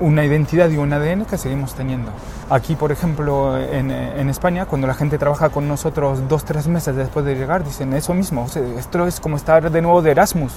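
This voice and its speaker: Against noticeable background noise, a man speaks quite quickly with fairly even intonation and a fairly high pitch. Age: 40s. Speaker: HR executive. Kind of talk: interview. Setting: outdoor rooftop terrace.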